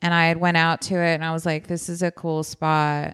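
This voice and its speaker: A normal speaking voice moves at a fairly quick pace. The recording is very clean and dry, with a close sound, no echo and a silent background. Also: woman. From Texas, San Antonio. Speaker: comedian. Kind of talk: casual chat.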